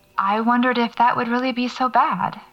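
A woman speaks at a moderate pace. Behind her there is music in the background. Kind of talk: horror fiction narration, first-person audio-diary monologue. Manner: hushed, uneasy, halting, with sighs and pauses, dread building.

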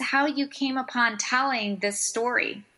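A woman's high, bright, sharp voice, raised and projected, with an American accent and a fairly slow pace. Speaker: radio show co-host.

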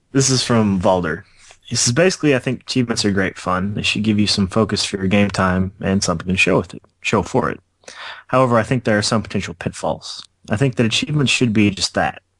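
Speaking very fast in a fairly low voice, a man is heard against a quiet background. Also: ordinary pitch variation. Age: 20s. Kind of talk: casual chat.

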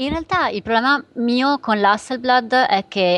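A woman talks in a normal speaking voice. Her pace is moderate, and her pitch variation is ordinary. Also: quiet background. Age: 30s. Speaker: photographer. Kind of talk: casual chat.

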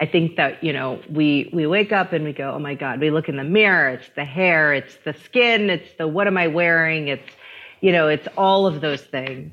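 With ordinary pitch variation, the speech keeps a moderate pace. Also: woman, very deep, low pitch for a woman. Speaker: author. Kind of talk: casual chat.

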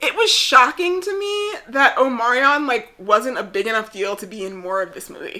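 A woman speaks at a moderate pace in a high voice, her pitch swinging very widely. Her loudness rises and falls in big swings. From New Jersey. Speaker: podcast co-host. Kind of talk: casual chat.

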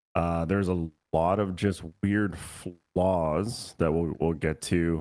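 The recording is very clean, with a silent background. A man speaks in an American accent. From Austin, Texas. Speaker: guest podcaster. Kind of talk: casual chat.

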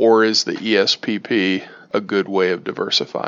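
There is vocal fry in this man's voice. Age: 40s. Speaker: listener caller, tech employee. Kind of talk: recorded voicemail question.

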